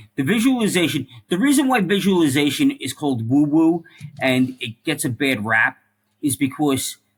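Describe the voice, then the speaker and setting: Speaking at a moderate pace, a man talks in an American accent. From New York City. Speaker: former police officer and firefighter. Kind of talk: interview.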